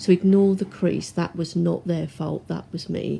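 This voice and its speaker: Soft-spoken, a woman talks at a fairly slow pace. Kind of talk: product review talk to camera. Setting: home, washing machine noise in background.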